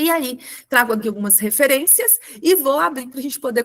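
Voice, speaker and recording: Her pitch is high, and the woman speaks with ordinary pitch variation. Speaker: webinar presenter on special education. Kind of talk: webinar presentation.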